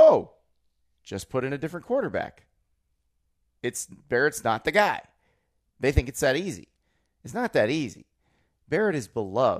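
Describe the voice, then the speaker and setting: On a very clean recording with a silent background, a man with an American accent speaks at a fairly high pitch and moderate pace, with vocal fry and long, frequent pauses. His pitch swings very widely and his loudness shifts a lot, in a dry, close sound with no echo. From Florida. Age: 30s. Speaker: college football writer and podcast co-host. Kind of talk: casual chat.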